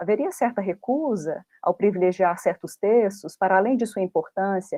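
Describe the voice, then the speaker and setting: A woman's ordinary speaking voice, medium in pitch, at a moderate pace with ordinary pitch variation. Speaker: independent researcher, academic presenter. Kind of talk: academic conference talk. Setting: online video conference.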